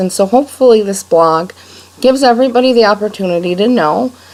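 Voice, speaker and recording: A woman with an American accent talks at a moderate pace, with ordinary pitch variation. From Rochester, New York, US. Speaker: blogger. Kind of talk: personal video blog monologue. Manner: many fillers and repetitions.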